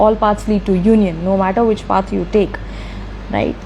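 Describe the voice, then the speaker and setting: A woman talks at a moderate pace, with noticeable background noise present. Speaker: tarot reader. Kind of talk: tarot reading. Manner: animated.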